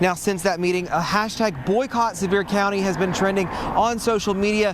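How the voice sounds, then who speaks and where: Through noticeable background noise, a man with an American accent talks at a moderate pace in a high pitch with fairly even intonation. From South Carolina. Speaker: TV news reporter. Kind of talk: broadcast news reporting. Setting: on location outdoors. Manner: serious, urgent.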